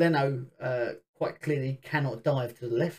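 The delivery comes at a fairly slow pace with fairly even intonation. The voice is somewhat breathy. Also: man. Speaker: football podcast host. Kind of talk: casual football chat and rant.

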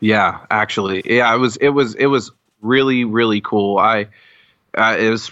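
Speaking at a moderate pace with an American accent, a man has a fairly low pitch, a bright, sharp tone and fairly even intonation. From Colorado. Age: 20s. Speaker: metal fan, podcast listener. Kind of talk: casual chat. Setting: video call.

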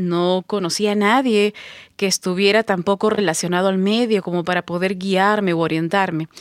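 Medium-pitched woman with an ordinary speaking voice at a moderate pace, dry and close-sounding with no echo. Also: very clean recording, silent background. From Peru, Pisco (southern coast). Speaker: voice actor and psychologist. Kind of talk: interview conversation.

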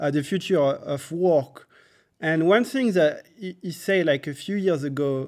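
A man with a French accent, fairly high pitch and ordinary pitch variation at a very slow pace, on a very clean recording with a silent background. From France. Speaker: software engineer, coding school co-founder. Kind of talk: interview. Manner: halting, many fillers.

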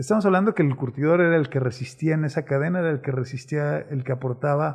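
A man's somewhat breathy, fairly high voice at a very fast pace. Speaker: city chronicler and show host. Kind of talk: conversational interview.

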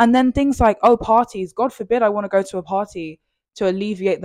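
A woman with a British accent at a very fast pace, ordinary pitch variation, dry, close sound with no echo, on a very clean recording with a silent background. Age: 20s. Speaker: podcast host. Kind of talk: solo podcast monologue. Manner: casual, rambling.

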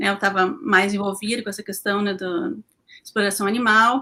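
Speaking at a moderate pace, a woman with a southern Brazilian accent has a bright, sharp tone and a medium pitch. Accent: gaúcho Brazilian Portuguese. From Porto Alegre, southern Brazil. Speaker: animal rights activist. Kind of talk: casual live-stream panel chat. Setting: online live stream.

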